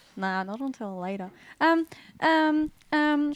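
A woman with an Australian accent, dry and close with no echo, on a very clean recording with a silent background. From Western Sydney, Australia. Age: 20s. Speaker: church member sharing testimony. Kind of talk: testimony.

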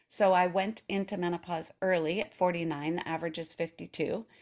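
In an ordinary speaking voice, a woman with a fairly low pitch talks at a fairly slow pace on a very clean recording with a silent background. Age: 60s. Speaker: health coach. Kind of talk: podcast interview.

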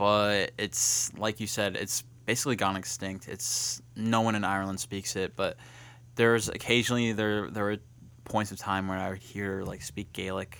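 With an ordinary speaking voice, a man talks at a moderate pace in a fairly low pitch and fairly even intonation, captured in a very clean recording with a silent background. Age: 20s. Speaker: college student hosting a campus talk show. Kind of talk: casual chat. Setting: campus studio broadcast.

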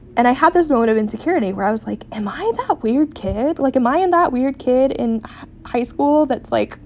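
A woman talks fairly quickly in an American accent, her pitch high. Her intonation is lively, with noticeable background noise behind her. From US West Coast, San Diego. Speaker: podcast co-host. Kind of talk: casual solo monologue.

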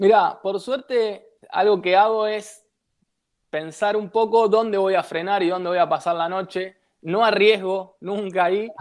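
This man's voice sits at a high pitch. He talks at a fairly slow pace with fairly even intonation. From Buenos Aires, Argentina. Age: 30s. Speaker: traveller and former beach footballer. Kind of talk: interview.

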